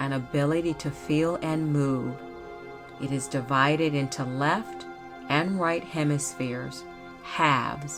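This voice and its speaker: With music in the background, a woman speaks very slowly in a calm tone, her very deep, low voice moving through very wide pitch swings. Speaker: podcast host. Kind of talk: educational podcast narration. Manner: soft-spoken, calm.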